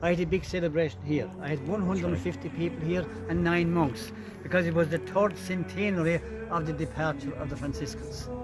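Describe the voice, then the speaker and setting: Over music in the background, a man with a Limerick accent speaks at a fairly quick pace and fairly high pitch, with very wide pitch swings. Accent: Irish, Limerick. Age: 80s+. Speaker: tour guide. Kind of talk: guided tour interview.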